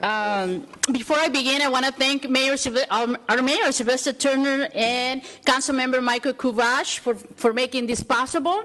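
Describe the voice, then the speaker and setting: Speech comes at a moderate pace with very even loudness and ordinary pitch variation. Background noise is noticeable. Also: woman, high pitch for a woman. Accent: Spanish. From El Salvador. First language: Spanish. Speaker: community leader. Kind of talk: acceptance speech. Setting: city council meeting.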